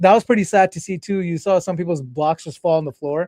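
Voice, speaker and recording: Over a quiet background, a man with an American accent talks at a very fast pace in a high pitch. His tone is dark and mellow, and the sound is dry and close with no echo. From Connecticut, US. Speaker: podcast host, former game show contestant. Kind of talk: casual interview chat.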